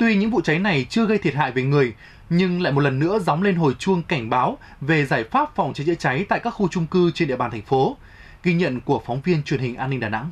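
This man talks at a fairly quick pace, his fairly high pitch rising and falling with lively intonation. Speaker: TV news anchor. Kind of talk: news reading. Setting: studio. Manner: formal. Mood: formal, serious. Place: studio.

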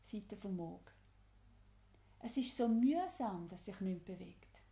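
In a Swiss accent, the voice is dark, mellow and somewhat breathy, moving very slowly with ordinary pitch variation and big swings in loudness. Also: woman, medium pitch for a woman. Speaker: EFT tapping guide. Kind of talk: guided tapping instruction.

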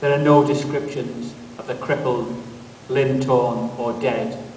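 Over noticeable background noise, a man talks at a fairly slow pace with fairly even intonation and a medium pitch. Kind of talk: poem performed.

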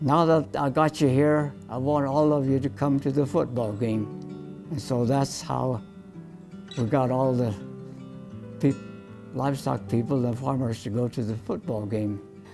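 Clear music plays in the background as a man speaks at a fairly slow pace with lively intonation. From Colorado, USA. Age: 80s+. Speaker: professor emeritus of animal sciences. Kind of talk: interview answer. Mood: warm, smiling reminiscence. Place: meeting room. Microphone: lapel.

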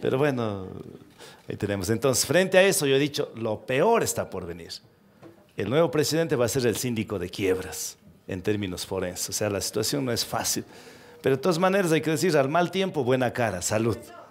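Very wide pitch swings from a man, over faint music in the background. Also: fairly quick pace. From Ecuador, Cuenca region (Cañari); Ecuador. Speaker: talk show guest. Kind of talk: interview before a live audience. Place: stage. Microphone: headset.

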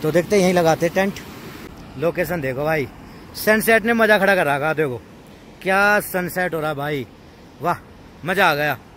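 A man with a high pitch and ordinary pitch variation speaks at a fairly slow pace with long, frequent pauses, in a dry, echo-free sound over light background noise. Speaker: camping vlogger. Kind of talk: casual vlog chat. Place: waterside.

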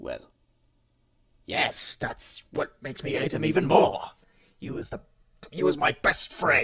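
A man puts on a raspy character voice, pitched fairly high. He speaks fairly slowly, with long, frequent pauses. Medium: audio drama. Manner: hostile, haughty, defensive.

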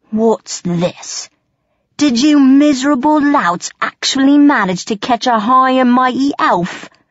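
Bellowing in a put-on character voice, the speaker goes at a fairly slow pace. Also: female-sounding voice, high pitch for a woman. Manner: menacing, blustering, coarse.

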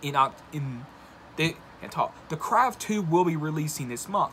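A man speaks at a fairly slow pace with ordinary pitch variation, and light background noise runs underneath. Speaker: video blogger and horror movie commentator. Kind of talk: angry rant about a film studio, YouTube commentary. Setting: solo video, recorded for a channel. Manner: indignant and exasperated, riled up, pointed criticism; conversational, addresses viewers directly. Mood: annoyed, ranting. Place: home room. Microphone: phone near.

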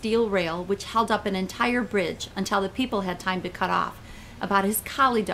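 The voice is plain reading aloud. Words are read out in a straightforward way.

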